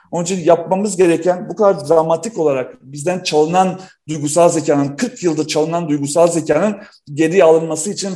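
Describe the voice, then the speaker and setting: This man's voice is high-pitched, yet dark and mellow in tone. His pitch varies in an ordinary way. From North Macedonia (Yugoslavia), Balkan Turk. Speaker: entrepreneur and researcher. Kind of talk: casual interview conversation.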